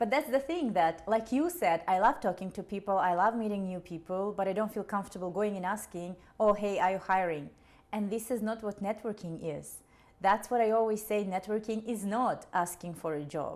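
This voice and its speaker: A woman talks at a fairly quick pace in a Russian accent. Her pitch is medium, with ordinary pitch variation. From Kazakhstan. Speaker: career advisor for immigrant students. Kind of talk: casual podcast conversation.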